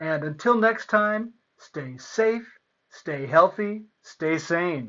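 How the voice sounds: The clip has a natural reading voice, and the background is quiet.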